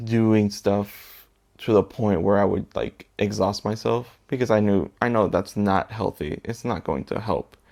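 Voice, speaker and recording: Fairly low in pitch, a man speaks at a fairly slow pace with fairly even intonation. The recording is very clean, with a silent background. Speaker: assistant language teacher and vlogger. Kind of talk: personal vlog monologue. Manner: low-pitched, subdued; hesitant, many fillers.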